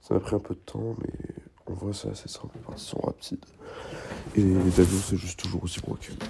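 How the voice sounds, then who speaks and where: A man puts on a character voice, hoarse and pitched very deep and low, at a fairly quick pace. He leaves long, frequent pauses. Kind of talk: casual, chatty video host.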